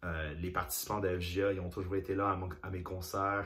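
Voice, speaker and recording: A somewhat breathy voice with audible room echo. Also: man. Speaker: singer, former youth association president. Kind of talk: interview testimony. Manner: halting, many repetitions.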